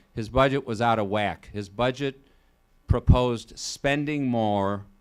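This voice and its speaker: In a very clean recording with a silent background, the speaker goes at a moderate pace with a Chicago accent. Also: man. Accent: Chicago-area Midwestern US. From Illinois, Joliet. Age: 60s. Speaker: state senator. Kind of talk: public talk. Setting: college event with student audience. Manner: conversational, with some stumbles.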